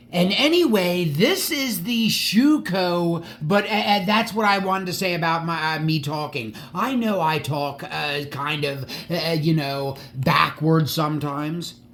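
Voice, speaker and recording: A man's high-pitched voice, fairly slow yet with hardly any pauses, ordinary pitch variation, audible room echo and noticeable background noise. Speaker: die-cast model car collector and YouTuber. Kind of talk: casual video monologue. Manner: halting.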